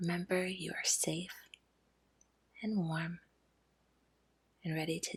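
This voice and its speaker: A soft-spoken voice talks in a calm tone at a fairly slow pace. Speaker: ASMR sleep story narrator. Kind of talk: guided relaxation intro. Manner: soft-spoken, calm.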